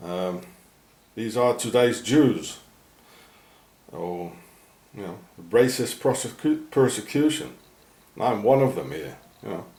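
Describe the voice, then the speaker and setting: A man with a medium-pitched voice and vocal fry talks with big swings in loudness and long, frequent pauses, with audible room echo. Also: lively intonation. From South Africa. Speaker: video blogger. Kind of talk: walking vlog rant. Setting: outdoors. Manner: halting.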